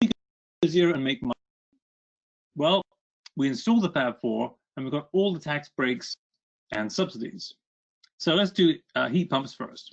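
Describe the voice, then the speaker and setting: Speaking with a British accent, a man with a fairly high pitch moves at a moderate pace, his lively intonation broken by long, frequent pauses, in a dry, close sound with no echo. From Britain. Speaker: author and energy consultant. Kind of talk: webinar presentation.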